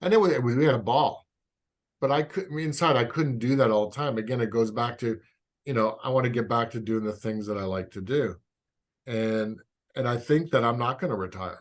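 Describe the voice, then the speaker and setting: Against a quiet background, a man with a medium pitch talks at a fairly quick pace with ordinary pitch variation. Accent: Canadian. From Canada. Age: 60s. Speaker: physical therapist and osteopath. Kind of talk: podcast interview. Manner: halting.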